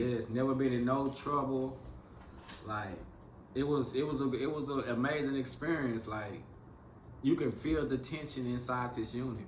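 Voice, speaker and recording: A man at a medium pitch, with fairly even intonation and long, frequent pauses, against noticeable background noise. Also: moderate pace. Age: 40s. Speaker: former federal prisoner. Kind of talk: interview answer.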